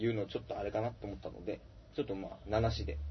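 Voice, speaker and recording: A man is speaking. He talks at a very fast pace. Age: 30s. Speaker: band guitarist and podcast host. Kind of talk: casual chat. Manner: halting, many fillers.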